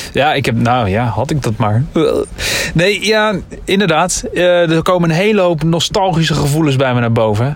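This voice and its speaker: A man talks at a moderate pace with very even loudness. There is noticeable background noise and audible room echo. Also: fairly high pitch for a man, lively intonation. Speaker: podcast co-host. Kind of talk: casual chat.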